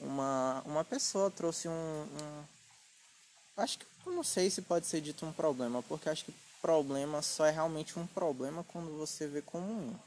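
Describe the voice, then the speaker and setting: Using a normal speaking voice, a man talks at a moderate pace. His pitch is fairly high, with ordinary pitch variation. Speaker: podcast host and writer. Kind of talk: casual chat.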